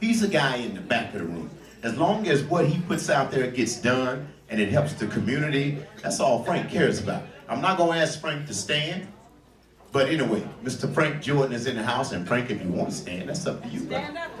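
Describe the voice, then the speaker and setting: With very wide pitch swings, the voice runs at a fairly quick pace amid noticeable background noise and audible room echo. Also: man, fairly high pitch for a man. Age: 60s. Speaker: jazz club emcee, Navy veteran. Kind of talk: emcee stage patter. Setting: stage with audience. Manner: animated.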